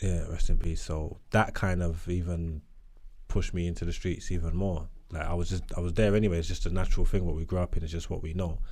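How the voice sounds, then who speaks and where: A man with a slight Cockney accent talks very fast in a very deep, low, dark and mellow voice, his intonation monotone and flat, with audible room echo around him. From East London (Hackney). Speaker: rapper and podcaster. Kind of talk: casual interview chat.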